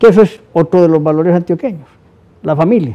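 With lively intonation and a dark, mellow tone, a man talks at a moderate pace in a fairly high voice. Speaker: TV interview host. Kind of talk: interview. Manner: formal.

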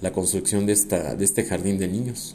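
With audible room echo, a man with a fairly low pitch and dark, mellow tone talks at a fairly quick pace with fairly even intonation. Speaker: podcast host, semi-retired architect. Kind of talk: casual monologue. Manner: hesitant, repeats words.

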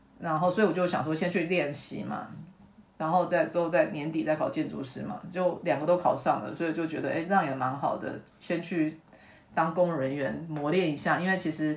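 Her pitch is very deep and low for a woman, with ordinary variation. She talks at a fairly quick pace. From Taiwan, Tainan County. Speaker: university lecturer in urban planning. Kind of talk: interview.

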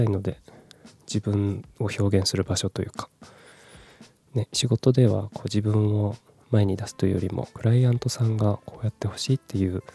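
In a dark, mellow, relaxed tone, a man with a fairly low, somewhat breathy voice speaks at a moderate pace with fairly even intonation and long, frequent pauses, the sound dry and close with no echo. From Japan, Kumamoto. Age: 30s. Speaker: podcaster. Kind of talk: casual solo talk. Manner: soft, relaxed.

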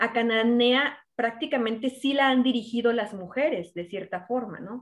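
This woman has an unremarkable speaking voice with a fairly high pitch. She talks at a fairly slow pace with fairly even intonation. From Mexico, Zacatecas. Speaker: podcast host, political interviewer. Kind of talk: interview.

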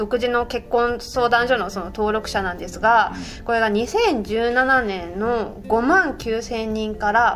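A woman talks at a very slow pace with hardly any pauses. Her pitch is fairly high, with ordinary pitch variation. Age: 30s. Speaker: newspaper reporter. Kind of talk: casual chat.

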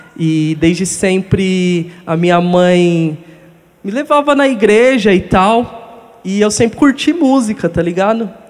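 A man with a high voice speaks very slowly over noticeable background noise. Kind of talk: testimony.

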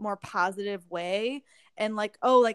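Her pitch shifts in an ordinary way. The woman's pace is moderate. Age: 20s. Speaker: podcast host and dance teacher. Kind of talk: casual chat. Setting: remote call.

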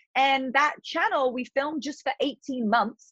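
A woman speaks with a British accent at a moderate pace. The sound is dry and close, with no echo. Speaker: fitness influencer and entrepreneur. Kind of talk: casual interview chat.

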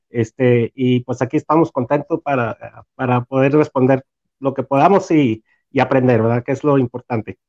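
The sound is dry and close, with no echo. A man talks at a moderate pace and a medium pitch, with fairly even intonation. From Mexico, Torreón, Coahuila. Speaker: fan group founder. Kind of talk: casual chat among fans. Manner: halting, many repetitions.

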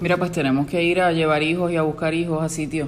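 Audible room echo hangs around this voice. The woman's pitch sits very deep and low. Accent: Puerto Rican. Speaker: podcast host. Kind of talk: casual interview chat.

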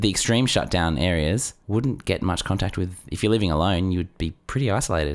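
A man with an Australian accent, lively intonation and a fairly quick pace. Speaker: podcast co-host. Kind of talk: casual comedic chat. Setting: studio.

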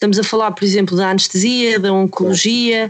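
A woman's monotone, flat intonation. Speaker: podcast co-host, health professional. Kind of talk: podcast discussion. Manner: halting, many repetitions.

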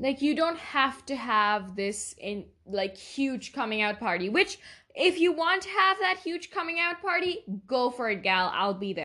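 A woman speaks in a raised, projected voice, her high pitch swinging very widely up and down. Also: fairly slow pace. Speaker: podcast host. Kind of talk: casual solo podcast talk. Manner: hesitant, many fillers.

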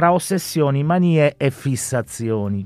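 A normal speaking voice with lively intonation carries the speech. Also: man. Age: 50s. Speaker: incarcerated university student. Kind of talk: reading aloud own story; radio interview. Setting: radio studio.

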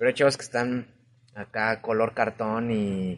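The intonation stays fairly even in an unremarkable speaking voice. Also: man. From Mexico City. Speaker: podcast host. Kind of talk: casual chat.

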